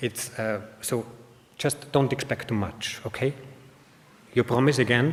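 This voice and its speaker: Noticeable background noise sits behind a man with an Austrian accent who talks at a fairly slow pace with ordinary pitch variation. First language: German. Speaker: information designer, conference speaker. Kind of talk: conference talk. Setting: stage with audience. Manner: halting, many fillers.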